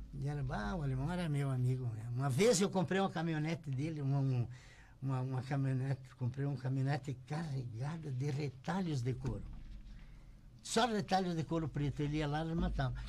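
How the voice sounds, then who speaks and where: A man with a fairly high pitch speaks in a dark, mellow tone that is somewhat breathy. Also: ordinary pitch variation, fairly quick pace. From Rio Grande do Sul, Brazil. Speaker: shoemaker and business owner. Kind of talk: interview storytelling. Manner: halting, repeats words.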